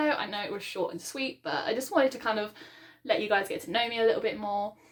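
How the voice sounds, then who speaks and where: A woman speaks with a British accent. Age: 20s. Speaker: book vlogger. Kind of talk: casual vlog monologue. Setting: home book room, video recording. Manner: fast; hesitant, many ums.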